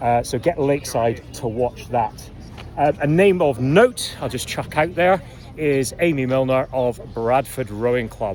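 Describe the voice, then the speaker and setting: A man with a slight Scottish accent talks at a medium pitch and a fairly slow pace over noticeable background noise. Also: ordinary pitch variation. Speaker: rowing coach and commentator. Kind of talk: informal review. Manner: casual, hesitant with fillers.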